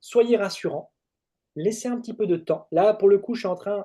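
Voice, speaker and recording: The tone of this man's voice is dark and mellow. He keeps a moderate pace. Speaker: trainer. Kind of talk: webinar presentation. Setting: webinar. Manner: hesitant, many fillers.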